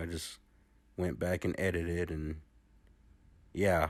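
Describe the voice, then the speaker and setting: A man speaks in a very deep, low pitch with flat, monotone intonation. The recording is very clean, with a silent background. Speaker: TV show reviewer. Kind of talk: video review monologue. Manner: hesitant, many fillers.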